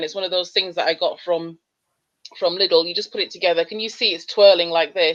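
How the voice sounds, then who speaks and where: Speaking at a fairly quick pace, a woman with a Leeds accent uses a medium pitch. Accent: Leeds accent, kept. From northern England, Leeds. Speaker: radiographer. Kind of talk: casual interview.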